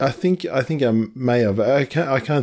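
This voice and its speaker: Dark, mellow tone in an Australian accent, fairly quick pace and ordinary pitch variation, on a very clean recording with a silent background. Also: man. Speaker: podcast host. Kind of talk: casual conversation.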